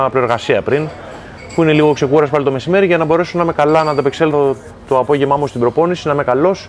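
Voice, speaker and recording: Talking at a very fast pace with fairly even intonation, a man is heard over light background noise. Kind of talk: interview answer. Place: home room. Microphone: lapel.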